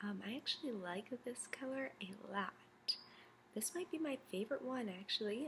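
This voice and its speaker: Over light background noise, a woman speaks at a moderate pace in a somewhat breathy voice with ordinary pitch variation. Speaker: beauty vlogger. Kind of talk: casual product review chat. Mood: cheerful, a bit nervous. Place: home room. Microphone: webcam.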